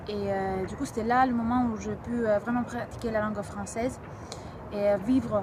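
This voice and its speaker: Amid noticeable background noise and audible room echo, a woman with a Greek accent speaks at a moderate pace in a fairly high, flat monotone. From Greece, Athens. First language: Greek (speaking French). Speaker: language learner. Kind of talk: interview testimony. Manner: halting, many hesitations.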